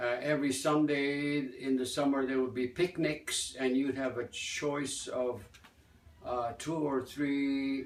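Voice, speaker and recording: Spoken with an American accent, the voice moves at a very slow pace with fairly even intonation. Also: man. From US Midwest, Gary, Indiana. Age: 80s+. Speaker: folk dance teacher. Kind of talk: interview. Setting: festival. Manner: halting.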